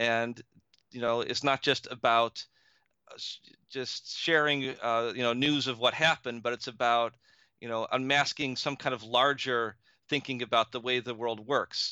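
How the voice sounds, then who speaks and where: A man speaks in an American accent at medium pitch and a moderate pace. His intonation is monotone and flat, the sound dry and close with no echo against a quiet background. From upstate New York (Buffalo area). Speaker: history professor and author. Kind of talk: interview. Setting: remote call via Skype. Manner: hesitant with fillers.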